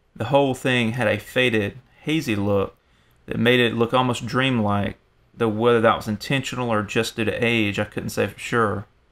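Speaking at a moderate pace, a man uses an ordinary speaking voice at medium pitch with fairly even intonation. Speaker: horror story narrator. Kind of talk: horror story narration, first-person scripted reading. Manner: tense, hushed suspense, building dread; shifts to casual, bantering voices for dialogue.

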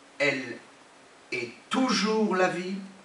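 A man's voice with audible room echo. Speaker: pastor. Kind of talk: sermon, emphatic preaching with repeated phrases and amens. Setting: church. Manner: emphatic, animated, repeating for effect. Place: church. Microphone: podium.

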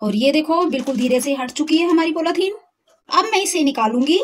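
Speaking at a moderate pace, the woman uses a high pitch and ordinary pitch variation. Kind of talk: cooking tutorial. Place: kitchen.

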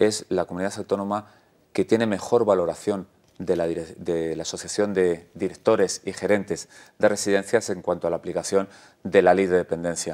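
Against a quiet background, a man with a very deep, low pitch and a dark, mellow tone talks at a fairly quick pace with fairly even intonation. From Spain, Ávila (Castile); Castile, Spain. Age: 50s. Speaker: regional election candidate, politician; election candidate, politician. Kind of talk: election interview. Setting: TV studio. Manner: hesitant with frequent fillers. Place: studio. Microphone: lapel.

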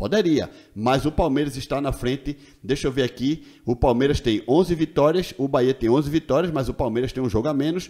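Over a quiet background, a man with a dark, mellow tone and fairly high pitch speaks at a fairly quick pace with ordinary pitch variation. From Brazil. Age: 40s. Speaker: football YouTuber. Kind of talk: casual video commentary. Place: home room. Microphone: studio mic.

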